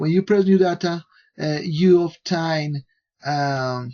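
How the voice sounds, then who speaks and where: Over a quiet background, a man with a non-native accent talks at a fairly high pitch with fairly even intonation. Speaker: software developer. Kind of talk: software tutorial. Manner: halting, many fillers. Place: home room. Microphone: headset.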